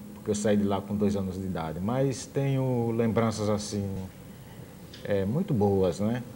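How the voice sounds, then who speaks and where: Speaking at a fairly slow pace, a man has a dark, mellow tone, heard with audible room echo. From Brazil, Sergipe. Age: 50s. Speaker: musician and visual artist. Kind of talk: TV interview.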